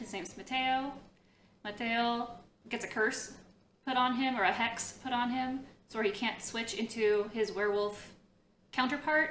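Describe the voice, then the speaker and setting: A woman's high-pitched voice carries audible room echo. She talks at a fairly slow pace with ordinary pitch variation. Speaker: book vlogger. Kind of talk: casual vlog. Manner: animated, lots of hand movement.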